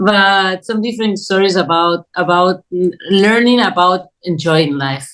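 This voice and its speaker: With a non-native accent, a woman speaks at a fairly slow pace in a medium pitch with ordinary pitch variation. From Spain, Madrid. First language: Spanish. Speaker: documentary filmmaker. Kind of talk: interview. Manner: halting.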